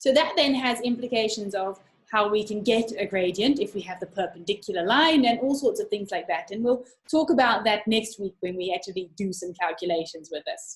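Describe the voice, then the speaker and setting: Speaking at a fairly quick pace, a woman uses lively intonation in a fairly high, somewhat breathy voice. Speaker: maths tutor. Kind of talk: online live lesson. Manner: animated.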